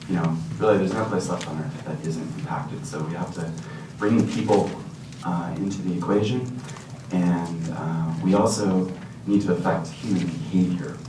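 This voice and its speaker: The speech has lively intonation. Noticeable background noise and audible room echo are present. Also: man, very deep, low pitch for a man, moderate pace. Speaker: scientist presenting at a workshop panel. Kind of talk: conference presentation. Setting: conference room with slides and dim lights. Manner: hesitant, many fillers.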